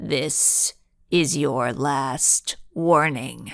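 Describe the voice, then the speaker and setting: A put-on character voice growls at a low-to-middle pitch. The sound is raspy. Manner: growling, threatening, chilling.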